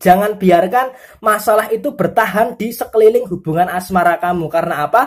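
A woman speaks at a fairly quick pace, fairly high-pitched and somewhat breathy, with ordinary pitch variation. The recording is very clean, with a silent background. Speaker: tarot reader. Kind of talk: tarot horoscope reading. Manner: forceful.

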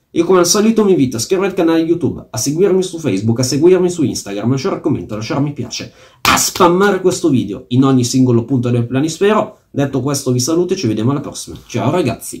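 A man's somewhat breathy voice at a very fast pace, with very wide pitch swings and a quiet background. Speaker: fantasy football YouTuber. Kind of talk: angry rant about a fantasy football auction, venting with swearing and sarcasm. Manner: fuming and indignant, sarcastic, stressing words with fury. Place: home room. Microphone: phone near.

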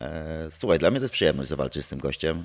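Against a quiet background, a man talks in a very deep, low pitch with ordinary pitch variation. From Poland. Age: 30s. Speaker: martial arts instructor and former MMA fighter; interviewee. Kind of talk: casual interview. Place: gym. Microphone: handheld.

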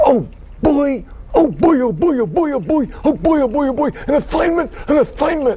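Using a put-on character voice, a man speaks at an extremely high pitch against clear background noise. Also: moderate pace. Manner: overexcited, silly, repetitive.

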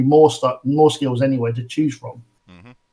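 This man talks fairly fast in a British accent. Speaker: tabletop game designer. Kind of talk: interview.

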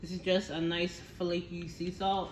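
Against light background noise and audible room echo, a woman talks fairly slowly at a fairly low pitch. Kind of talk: tutorial. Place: kitchen. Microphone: phone near.

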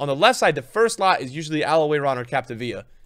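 Loud and animated, a man speaks at a fairly quick pace with very wide pitch swings. The background is quiet. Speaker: gaming YouTuber and streamer. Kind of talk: casual gaming commentary, pack opening. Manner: excitable, loud, animated. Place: home room.

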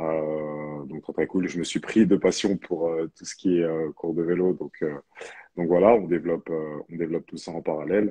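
A man with a very deep, low pitch and a dark, mellow tone talks at a fairly slow pace with fairly even intonation and big swings in loudness, over a quiet background. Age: 30s. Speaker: professional basketball player and personal trainer; personal trainer. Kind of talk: interview. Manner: halting. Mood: relaxed, smiling. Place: home room. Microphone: connection problems; earbuds.

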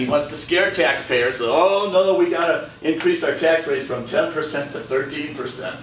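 Audible room echo around a man's voice, plus light background noise. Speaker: candidate. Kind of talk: campaign speech. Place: meeting room.

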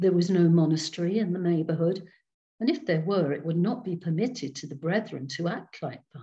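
Against a quiet background, the voice is somewhat breathy, with a dark, mellow tone and a gentle, warm tone. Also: woman. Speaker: storyteller. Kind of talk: reading aloud ghost story to a Zoom group. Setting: video call. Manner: slow, dramatic, hushed suspense with character voices; gentle, warm storyteller. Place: home room. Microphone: webcam.

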